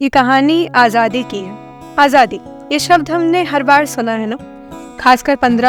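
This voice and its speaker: Music plays in the background. A woman speaks with a high pitch. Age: young. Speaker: spoken word poet. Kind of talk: spoken word storytelling. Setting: studio. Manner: heartfelt, emotional.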